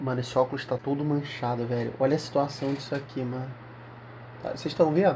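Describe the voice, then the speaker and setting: A man speaks over music in the background. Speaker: youtuber. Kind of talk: casual vlog chat. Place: home room.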